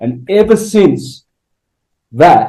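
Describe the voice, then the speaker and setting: A man speaks with a dark, mellow tone. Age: 60s. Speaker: alternative health teacher giving a product testimonial. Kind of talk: casual interview testimony. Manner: halting.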